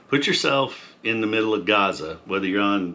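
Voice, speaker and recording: A man's fairly low voice with a bright, sharp tone. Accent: American. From Montana. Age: 60s. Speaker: farmer and Air Force veteran. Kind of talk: casual monologue. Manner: halting.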